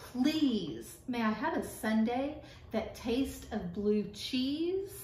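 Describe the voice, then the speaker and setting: Using a put-on character voice, a woman sounds squeaky and high-pitched. She speaks at a very slow pace with a slight echo. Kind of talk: reading a children's book aloud.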